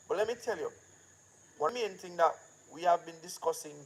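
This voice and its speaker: A man talks at a moderate pace with a Jamaican accent. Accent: Jamaican, patois-inflected. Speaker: filmmaker and channel owner. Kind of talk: casual live-stream talk.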